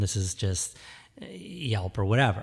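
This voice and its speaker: Speaking with an American accent, a man uses a very deep, low pitch, a somewhat breathy quality and lively intonation. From suburban Detroit, Michigan. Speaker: cheese shop and cafe owner. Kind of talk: casual chat. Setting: studio.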